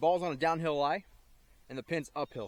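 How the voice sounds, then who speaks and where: A man at a very fast pace. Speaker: amateur golf vlogger. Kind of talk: casual self-narrated golf commentary. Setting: outdoors on a golf course. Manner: stuttering, halting at times; casual, thinking aloud with fillers.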